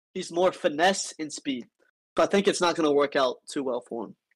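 A man with an ordinary speaking voice, fairly high in pitch with ordinary pitch variation, is heard in a dry, close sound with no echo. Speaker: debater, Discord community member. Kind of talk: casual debate.

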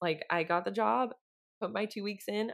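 The voice carries vocal fry and ordinary pitch variation. It has an American accent. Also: woman. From Idaho. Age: 20s. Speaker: sustainable period care startup employee. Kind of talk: casual chat.

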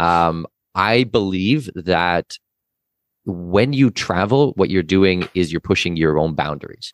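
A man with a very deep, low voice speaks very slowly and with lively intonation, his loudness very even, in a dry, close recording with no echo that is very clean over a silent background. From Canada. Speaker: expat and tax consultant. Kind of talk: interview conversation.

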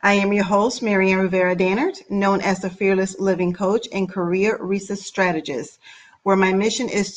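The pace holds at a moderate speed. It is a plain, everyday voice. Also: woman. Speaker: podcast host and life coach. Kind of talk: scripted intro and casual interview.

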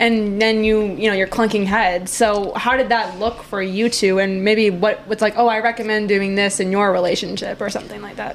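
A woman with an American accent speaks at a moderate pace and a medium pitch, hardly pausing, over noticeable background noise. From Wisconsin. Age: 20s. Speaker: podcast host. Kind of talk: casual interview. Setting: apartment. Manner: animated.

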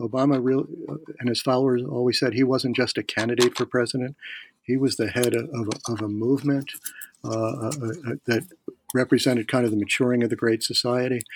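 A man with an American accent talks at a fairly quick pace, leaving long, frequent pauses, his medium pitch held at a fairly even intonation in a dry, close recording with no echo. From Philadelphia, US. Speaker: political science professor. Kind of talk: interview.

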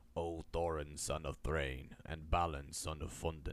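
In a croaky, put-on character voice, the delivery is fairly slow and monotone, with flat intonation. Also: man, very deep, low pitch for a man. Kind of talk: formal, ceremonial address.

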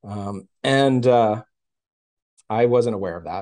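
A man with an American accent speaks in a dark, mellow tone with ordinary pitch variation. The background is quiet. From Texas, Houston. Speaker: Montessori educator. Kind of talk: interview. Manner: hesitant, many fillers.

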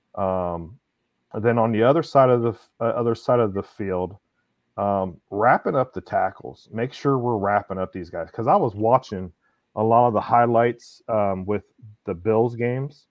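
A man with an ordinary speaking voice talks in a medium pitch, showing ordinary pitch variation and keeping a moderate pace. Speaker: sports podcast co-host. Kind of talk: casual sports chat.

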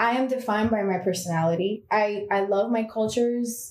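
In a room with audible echo, a woman at a fairly high pitch speaks at a moderate pace with ordinary pitch variation. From Miami. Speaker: actress and comedian. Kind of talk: casual chat.

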